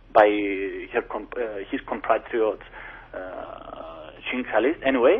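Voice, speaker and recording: A man speaks in a Greek accent. His pace is very slow. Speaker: lawyer. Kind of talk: interview. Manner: halting, many false starts; animated.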